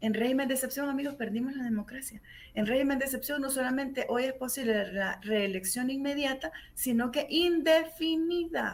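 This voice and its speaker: A woman speaks in an animated tone at a high pitch, with ordinary pitch variation and a moderate pace. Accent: Salvadoran. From El Salvador. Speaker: human rights lawyer. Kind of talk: radio interview.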